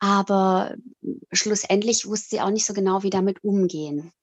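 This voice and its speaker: The speaker is a woman. Her pitch is medium. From Italy (German-speaking family, born in Switzerland). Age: 40s. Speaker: author and psychological counsellor. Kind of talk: interview. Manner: hesitant, many fillers.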